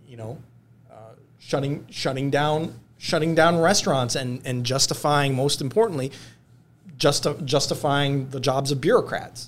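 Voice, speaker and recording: A man with an American accent talks at a fairly slow pace and fairly high pitch, his intonation fairly even, with big swings in loudness and long, frequent pauses. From Michigan, US. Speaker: lawyer. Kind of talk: casual chat. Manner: halting, many repeated words.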